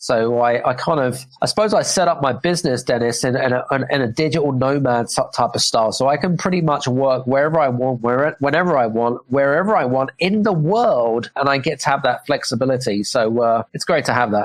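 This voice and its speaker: Talking at a fairly quick pace with hardly any pauses, a man with a British accent holds a medium pitch at a very even loudness. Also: ordinary pitch variation. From England, UK. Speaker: business coach and author. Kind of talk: podcast interview.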